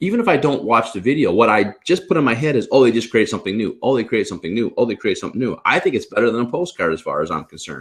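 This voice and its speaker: Over a quiet background, a man rattles along at a very fast pace in an animated tone with hardly any pauses. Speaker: realtor and trainer; trainer. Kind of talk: casual chat. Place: home room. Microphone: video call.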